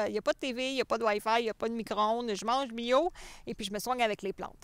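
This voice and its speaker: A woman's fairly high voice at a very fast pace, dry and close with no echo, on a very clean recording with a silent background. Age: 40s. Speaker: game show applicant, public speaker. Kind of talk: self-presentation video.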